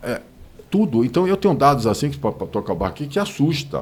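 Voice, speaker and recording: A man is speaking. His voice has vocal fry. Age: 60s. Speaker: business association president. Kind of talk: interview. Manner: animated.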